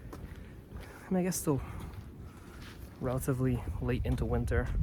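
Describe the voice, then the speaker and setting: Fairly slow speech with audible room echo. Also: man. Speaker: hiking vlogger. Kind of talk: casual vlog narration. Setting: outdoors. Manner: hesitant with many fillers.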